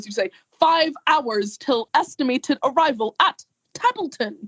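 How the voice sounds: A loud, robotic, put-on character voice speaks at a moderate pace. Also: female-sounding voice, high pitch for a woman.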